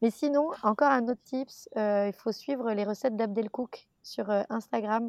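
A fairly high-pitched female voice at a fairly slow pace with ordinary pitch variation. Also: hardly any pauses. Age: 30s. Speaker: actress. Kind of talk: casual chat. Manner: halting.

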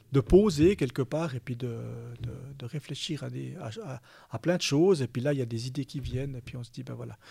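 A man's somewhat breathy voice, dark and mellow in tone, medium in pitch, with ordinary pitch variation. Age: 50s. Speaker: bank executive. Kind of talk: interview. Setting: studio. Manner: halting.

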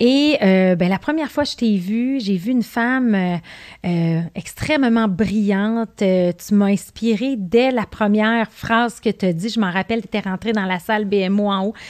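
A woman with a Quebec accent at medium pitch, fairly slow pace and ordinary pitch variation against a quiet background. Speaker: podcast host, business coach. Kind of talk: interview. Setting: in person studio.

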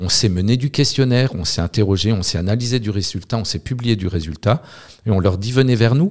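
The voice moves at a moderate pace with ordinary pitch variation. It is a very clean recording with a silent background. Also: man. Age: 50s. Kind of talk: interview. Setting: in Lille. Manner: halting with repetitions.

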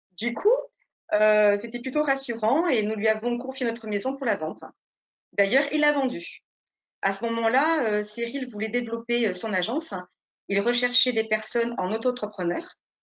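Pausing long and often, a woman speaks at a moderate pace with a fairly high pitch and ordinary pitch variation. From France, Nice. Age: 40s. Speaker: real estate agent. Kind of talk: interview.

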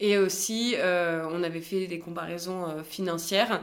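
A woman speaks at a fairly slow pace in a fairly low voice, with audible echo in the room. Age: 20s. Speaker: business school student, cosmetic surgery patient. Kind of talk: testimony.

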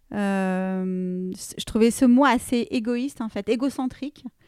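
Fairly high pitch from a woman with an ordinary speaking voice and ordinary pitch variation, in a dry, close sound with no echo on a very clean recording with a silent background. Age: 40s. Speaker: fashion entrepreneur. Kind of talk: casual interview.

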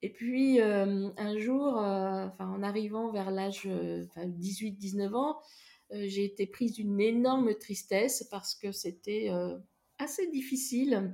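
Her tone is dark and mellow, with a medium pitch for a woman. This woman talks at a very slow pace with ordinary pitch variation. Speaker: therapist. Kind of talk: personal testimony. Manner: hesitant.

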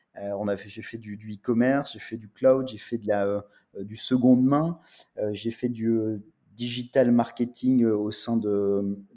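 A man speaks at a very slow pace in a medium pitch. His tone is dark and mellow, with fairly even intonation. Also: big swings in loudness. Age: 30s. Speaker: real estate tech entrepreneur. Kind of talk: interview. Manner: halting.

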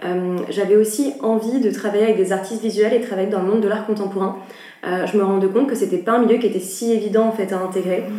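Through audible room echo and noticeable background noise, a woman speaks at a very fast pace with fairly even intonation. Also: medium pitch for a woman. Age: 20s. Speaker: art agency co-founder. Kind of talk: interview conversation.

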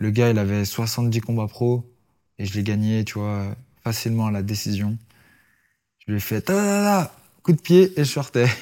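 In a very clean recording with a silent background, a man speaks with a dark, mellow tone. He goes at a fairly slow pace, with ordinary pitch variation and long, frequent pauses. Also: medium pitch for a man. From France, Lyon area (Vénissieux, Givors). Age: 20s. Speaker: MMA fighter. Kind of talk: casual interview.

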